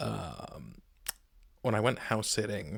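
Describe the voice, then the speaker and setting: A soft-spoken man's medium-pitched voice on a very clean recording with a silent background. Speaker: MMA YouTuber. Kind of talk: casual fight picks monologue. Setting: home recording on laptop. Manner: quiet, talking softly; hesitant, many ums.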